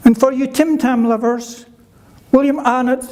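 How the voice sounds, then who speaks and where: Over noticeable background noise and audible room echo, a man with a Scottish accent speaks at an extremely high pitch with fairly even intonation. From Scotland (Kirkcaldy, Fife). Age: 70s. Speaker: conference speaker living with a neurological condition. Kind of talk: prepared speech. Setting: conference stage with audience.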